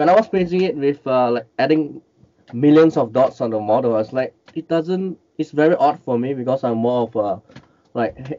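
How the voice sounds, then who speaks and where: A man's fairly high-pitched voice at a moderate pace. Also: ordinary pitch variation. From Malaysia. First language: Cantonese. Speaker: miniature and collectible painter; guest. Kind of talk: interview, casual chat. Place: home room. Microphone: headset.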